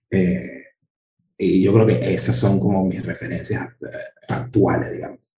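A man with a Caracas accent and a very deep, low voice speaks at a fairly slow pace, making very wide pitch swings and long, frequent pauses. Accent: Venezuelan Spanish (Caracas). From Venezuela, Caracas. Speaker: stand-up comedian. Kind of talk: casual chat.

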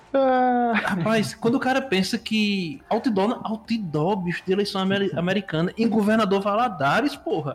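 This man has a high pitch and lively intonation, with very even loudness at a moderate pace. He leaves hardly any pauses, and noticeable background noise is present. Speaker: podcast host. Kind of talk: casual chat.

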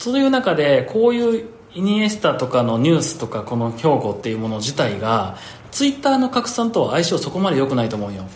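Over noticeable background noise and audible room echo, a man talks at a fairly quick pace in a fairly high pitch with very wide pitch swings. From Hyogo, Japan. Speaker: podcast host and company head. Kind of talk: casual chat.

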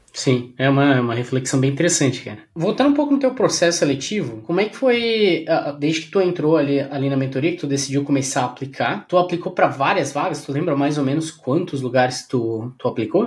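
Somewhat breathy and fairly high in pitch, a man talks at a fairly quick pace with hardly any pauses and ordinary pitch variation. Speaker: podcast host and career mentor. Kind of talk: casual interview chat.

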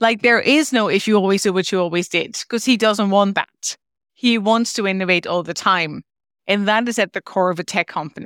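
A woman with a Dutch accent speaks at a moderate pace, with a medium pitch and ordinary pitch variation. The recording is very clean, with a silent background and a dry, close sound with no echo. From Netherlands. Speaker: learning and development leader, guest. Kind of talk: interview conversation.

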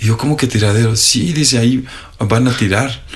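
With noticeable background noise and audible room echo, a man speaks at a medium pitch with fairly even intonation. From Mexico, Sierra de Puebla. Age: 40s. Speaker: high school teacher. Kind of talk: classroom talk; interview. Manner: halting, many fillers.

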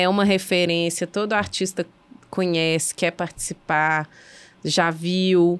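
This woman speaks very slowly, in a flat monotone. The recording is very clean, with a silent background. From Belo Horizonte, Minas Gerais. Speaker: arts festival co-founder. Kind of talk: casual chat.

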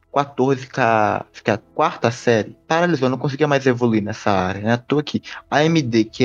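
A man has an unremarkable speaking voice at medium pitch. He keeps a moderate pace with ordinary pitch variation. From Brazil, southeastern Minas Gerais. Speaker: podcast panelist. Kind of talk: casual discussion podcast.

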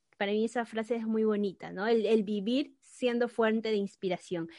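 Her voice is fairly high for a woman, and she speaks at a moderate pace. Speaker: podcast host. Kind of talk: casual chat.

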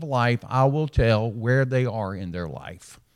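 With a slight Alabama accent, a man speaks at a fairly slow pace with lively intonation on a very clean recording with a silent background. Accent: slight Southern US (Alabama). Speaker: retired pastor, guest preacher. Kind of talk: sermon. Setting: church worship service.

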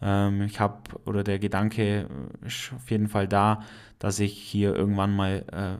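A man with an Allgäu accent and a fairly low pitch at a fairly slow pace, on a very clean recording with a silent background. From Allgäu, Bavaria. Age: 20s. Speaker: podcaster and industrial mechanic. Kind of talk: casual monologue.

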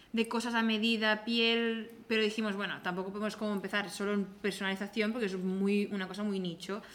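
A fairly quick pace with fairly even intonation. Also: woman. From Catalonia, Spain (Igualada). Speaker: handbag designer and brand co-founder. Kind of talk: casual interview chat.

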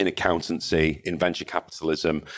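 A man with a Mancunian accent, very deep and low-pitched, at a fairly quick pace on a very clean recording with a silent background. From northern England, Salford/Manchester. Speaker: cybersecurity company founder and CEO. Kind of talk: interview conversation. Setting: in-person recording, same room.

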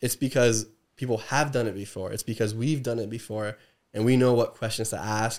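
A man with an unremarkable speaking voice talks at a fairly quick pace and a medium pitch, with fairly even intonation. The recording is very clean, with a silent background. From New Jersey, US East Coast. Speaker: business and trademark attorney. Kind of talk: casual interview.

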